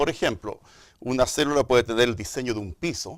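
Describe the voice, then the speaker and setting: In a Chilean accent, a man of medium pitch talks very fast on a very clean recording with a silent background. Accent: Chilean, marked. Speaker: microbiology and genetics professor. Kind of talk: TV interview explanation. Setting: studio.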